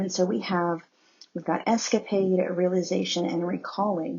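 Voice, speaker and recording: A woman speaks softly in a fairly low pitch. Her pace is fairly slow. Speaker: tarot reader. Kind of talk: tarot reading voiceover. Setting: voiceover over photos of cards. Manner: soft-spoken.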